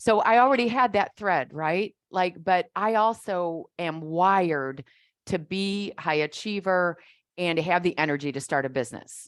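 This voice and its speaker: At a fairly slow pace, a woman with a normal speaking voice talks in a fairly low pitch with lively intonation, captured in a very clean recording with a silent background. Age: 60s. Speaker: business coach. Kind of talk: interview conversation.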